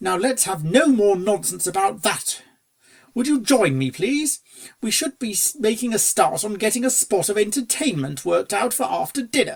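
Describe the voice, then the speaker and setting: A man's high, put-on character voice at a moderate pace, with very wide pitch swings. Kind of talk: posh gentleman's banter. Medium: read story. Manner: genial, airy, upper-crust.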